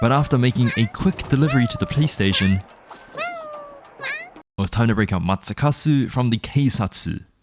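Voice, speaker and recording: Very wide pitch swings from a man at a medium pitch. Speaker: gaming youtuber. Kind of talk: scripted narration; gameplay commentary. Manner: casual.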